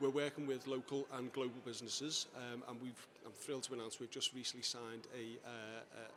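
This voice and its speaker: A man's medium-pitched voice with a Liverpool accent, flat and monotone, at a fairly quick pace with hardly any pauses. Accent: Liverpool (Scouse). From Liverpool, England. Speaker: engineering director. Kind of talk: panel discussion. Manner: halting, many repetitions.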